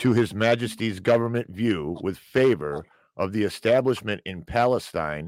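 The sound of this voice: An unforced reading voice, lively in intonation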